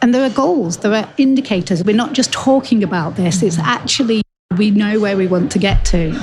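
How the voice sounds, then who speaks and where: A woman with a British accent speaks at a medium pitch and a fairly quick pace, somewhat breathy, with lively intonation and very even loudness. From northern England. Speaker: global health expert. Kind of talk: interview.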